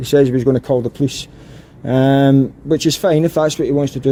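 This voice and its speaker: A man with a Scottish accent, dark and mellow in tone, with fairly even intonation and a dry, close sound with no echo. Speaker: auditor filming in public. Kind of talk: confrontational street conversation. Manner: calm, polite.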